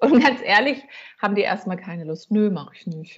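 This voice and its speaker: Somewhat breathy, a woman talks at a fairly quick pace with lively intonation. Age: 40s. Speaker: coach and counselor. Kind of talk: casual interview.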